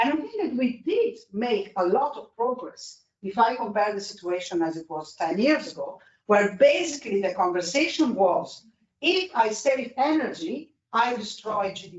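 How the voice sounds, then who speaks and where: Someone with an Italian accent speaks at a moderate pace. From Italy. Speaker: energy policy expert. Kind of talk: panel discussion. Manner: halting.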